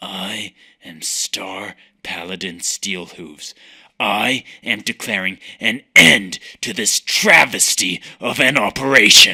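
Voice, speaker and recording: A man puts on a character voice with a fairly low pitch. He talks at a fairly slow pace. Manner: grave, solemn.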